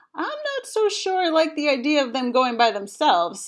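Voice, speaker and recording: High-pitched put-on character voice from a woman, moderately paced. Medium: read story.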